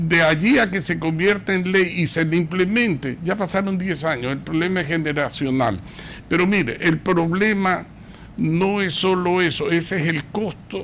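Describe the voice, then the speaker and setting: A high-pitched man at a fairly slow pace. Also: ordinary pitch variation. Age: 70s. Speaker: political commentator. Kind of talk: radio talk show interview.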